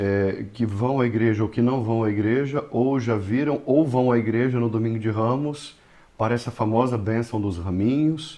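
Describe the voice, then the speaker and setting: A man with a medium-pitched voice and a dark, mellow tone speaks at a fairly slow pace with ordinary pitch variation. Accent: Brazilian. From Brazil. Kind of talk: podcast interview.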